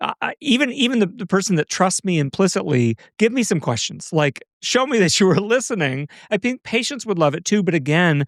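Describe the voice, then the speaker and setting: A man with a high pitch speaks at a fairly quick pace, his voice making very wide pitch swings. The sound is dry and close, with no echo. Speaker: physician podcast host. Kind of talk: casual chat. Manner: fast.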